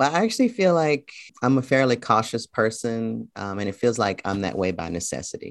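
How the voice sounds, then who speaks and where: A man with an American accent, a plain, everyday voice and lively intonation. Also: medium pitch for a man, fairly quick pace. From US South, Memphis, Tennessee. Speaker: college professor and poet. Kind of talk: interview. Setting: video call.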